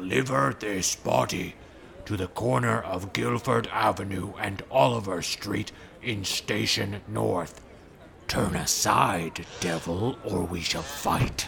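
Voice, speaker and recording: Over clear background noise, a man puts on a character voice with a very deep, low pitch at a fairly slow pace. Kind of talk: archaic, formal, knightly speech. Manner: solemn, earnest, self-important.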